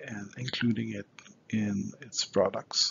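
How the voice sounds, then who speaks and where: Speaking very slowly in a Quebec accent, a man keeps a monotone, flat intonation. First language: French. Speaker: scientist presenting at a conference. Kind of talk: conference presentation. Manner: halting, many filler sounds.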